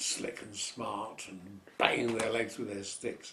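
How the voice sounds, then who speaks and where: The voice belongs to a man with a London accent. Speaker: variety performer. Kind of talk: interview answer. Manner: casual, anecdotal.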